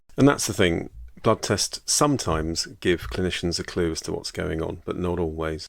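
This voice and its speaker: Very deep and low, a man's voice carries lively intonation and a British accent. The recording is very clean with a silent background. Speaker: GP and podcast host. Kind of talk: solo educational podcast. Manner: fast; casual, hesitant repetitions.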